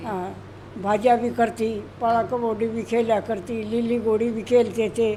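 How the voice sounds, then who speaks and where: The woman's fairly high voice stays monotone and flat in its intonation. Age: 80s+. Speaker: masters athlete. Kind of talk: interview answer.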